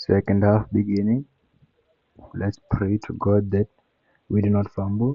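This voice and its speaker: A man speaks in a fairly low voice with fairly even intonation and long, frequent pauses. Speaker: football fan streamer. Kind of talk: live watchalong commentary. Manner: casual slangy; kinda quiet.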